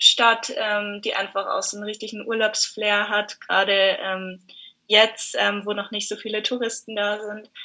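A woman at fairly high pitch and a fairly slow pace, with a bright, sharp tone. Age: 20s. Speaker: exchange student. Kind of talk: casual interview.

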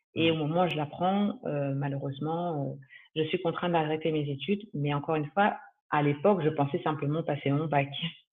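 A woman speaks with a very deep, low pitch and fairly even intonation. Her pace is fairly quick. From France, Paris region. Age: 30s. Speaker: real estate asset manager. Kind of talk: interview testimony.

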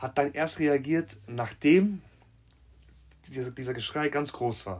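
Very slowly, a man speaks in a somewhat breathy voice. His pitch varies in an ordinary way. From Germany, Marburg (Hesse). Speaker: amateur footballer. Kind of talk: casual chat.

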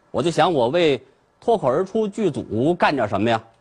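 Somewhat breathy and fairly high-pitched, a man speaks at a moderate pace with very wide pitch swings. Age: 40s. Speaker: comedian. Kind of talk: stand-up.

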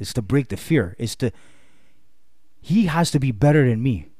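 At a moderate pace, a man talks with lively intonation in a dark, mellow, somewhat breathy tone. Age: 30s. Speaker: podcast guest, fitness enthusiast. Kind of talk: casual chat.

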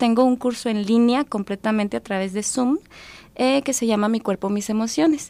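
Using an unremarkable speaking voice, a woman with a fairly high pitch and fairly even intonation talks at a moderate pace in a very clean, dry, close recording with no echo and a silent background. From Mexico, Durango. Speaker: psychologist and thanatologist. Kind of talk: radio interview. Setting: radio studio.

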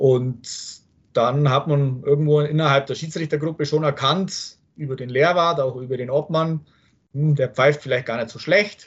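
A man talks at a fairly slow pace with a fairly high pitch. His voice is somewhat breathy and swings widely in loudness. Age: 30s. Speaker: football referee. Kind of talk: interview.

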